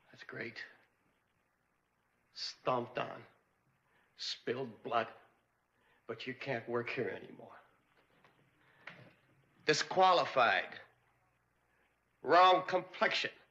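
Putting on a raspy character voice, a man speaks at a fairly high pitch with lively intonation and big swings in loudness. His pace is very slow, with long, frequent pauses. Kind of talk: bitter, sarcastic. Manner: shouting, angry. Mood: bitter, confrontational.

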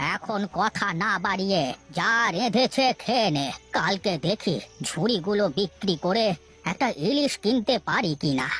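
Over music in the background, a female-sounding cartoonish character voice at a fairly high pitch moves at a fairly slow pace, with lively intonation and very even loudness. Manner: scolding, sarcastic.

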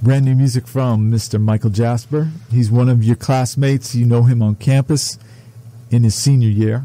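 Somewhat breathy, a man with a dark, mellow tone speaks at a medium pitch and a moderate pace, in a monotone, flat intonation with very even loudness. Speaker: radio host. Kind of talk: casual interview. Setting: studio.

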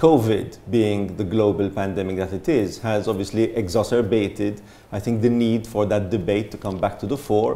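Speaking at a moderate pace, a man with a fairly low pitch uses fairly even intonation in an unremarkable speaking voice. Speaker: panelist. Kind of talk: panel discussion answer.

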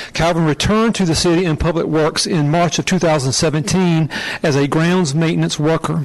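With ordinary pitch variation, a man speaks at a moderate speed. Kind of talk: ceremonial recognition speech. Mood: warm, appreciative. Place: hall.

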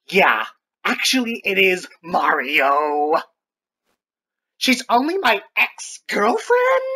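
A man talks in a raised, projected voice with a high pitch. He speaks very slowly, with long, frequent pauses. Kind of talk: comic overacting. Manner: shrieking, melodramatic.

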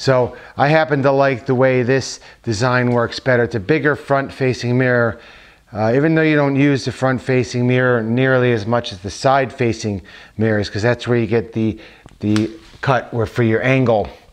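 The pace is moderate. A man talks with fairly even intonation. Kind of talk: casual tutorial talk. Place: home room.

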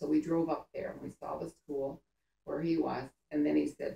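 A woman talks at a moderate pace with audible room echo. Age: 80s+. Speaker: grandmother telling war stories. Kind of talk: storytelling to family. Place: home room. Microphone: camera far.

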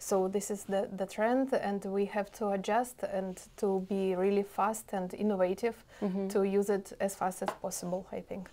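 A woman speaks with a Russian accent at a moderate pace. Her pitch is medium and her intonation flat and monotone. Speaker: IT product owner; interviewee. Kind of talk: interview. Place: meeting room.

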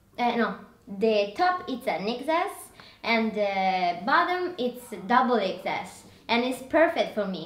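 Very wide pitch swings at a very slow pace, with audible room echo. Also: woman. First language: not English. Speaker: fashion and lifestyle vlogger. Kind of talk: casual product review haul video. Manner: animated, enthusiastic, slightly halting. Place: home room. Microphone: camera far.

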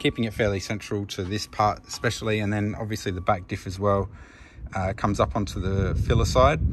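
Amid noticeable background noise, a man with a fairly low pitch speaks at a moderate pace. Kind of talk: tutorial. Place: street. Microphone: phone near.

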